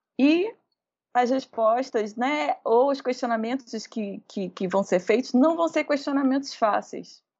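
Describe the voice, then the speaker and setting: Her voice high in pitch, a woman talks at a fairly slow pace with lively intonation. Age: 40s. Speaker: photographer and video artist. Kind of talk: interview conversation. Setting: remote call from home.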